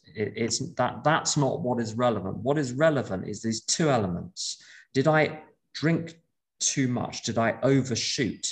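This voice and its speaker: A man talks at a fairly slow pace in a medium pitch, his voice somewhat breathy. His pitch varies in an ordinary way over a quiet background. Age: 50s. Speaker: AA speaker and sponsor. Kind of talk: talk to a recovery meeting. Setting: video call.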